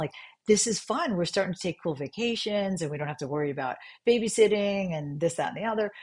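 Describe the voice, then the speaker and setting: Against a quiet background, a woman talks at a very fast pace with an American accent, her animated tone somewhat breathy and her intonation lively. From New York. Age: 60s. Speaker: functional medicine doctor. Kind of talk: podcast interview.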